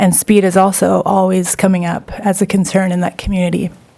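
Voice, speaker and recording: A woman at a medium pitch with monotone, flat intonation, a moderate pace and noticeable background noise. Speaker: municipal councillor. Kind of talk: council meeting discussion.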